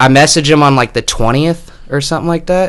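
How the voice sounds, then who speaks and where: A man talks fairly quickly in an American accent. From Texas, Dallas area. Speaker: podcast guest. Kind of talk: casual chat. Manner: loud and talkative.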